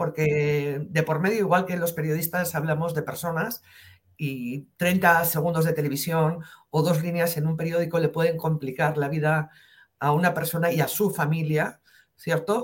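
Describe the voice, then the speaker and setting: Her voice comes across as somewhat breathy. This woman's pitch is fairly low. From northern Spain, near the French border. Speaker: investigative journalist. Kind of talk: interview.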